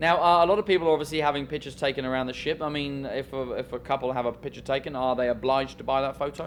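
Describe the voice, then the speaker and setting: This man talks at a very fast pace with hardly any pauses and fairly even intonation. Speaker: cruise director. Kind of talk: casual interview.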